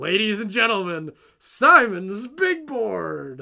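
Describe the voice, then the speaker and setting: A man in a put-on character voice, high-pitched and very slow. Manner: announcer-like, playful.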